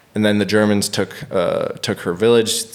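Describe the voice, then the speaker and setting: Behind a voice with an American accent, noticeable background noise can be heard. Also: man. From United States. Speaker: stand-up comedian. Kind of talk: podcast interview answer.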